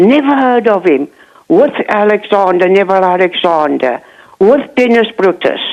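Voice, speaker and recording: A woman speaks at a moderate pace with a medium pitch. Her pitch swings very widely while her loudness stays very even. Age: 60s. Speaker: caller. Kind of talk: phone-in testimony. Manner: halting.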